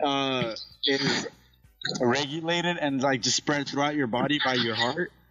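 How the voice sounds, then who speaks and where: With music in the background, the speech holds very even loudness and fairly even intonation. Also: man, fairly high pitch for a man, fairly slow pace. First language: Spanish. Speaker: podcast co-host. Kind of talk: casual chat.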